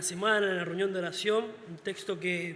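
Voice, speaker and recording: A man's high, monotone, flat voice amid noticeable background noise. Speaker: deacon preacher. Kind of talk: sermon.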